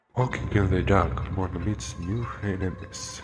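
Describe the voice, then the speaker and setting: With music in the background, a man speaks at a very deep, low pitch. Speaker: whisper narrator (ASMR-style). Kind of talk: whispered poetry reading about a video game. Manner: whispered, soft.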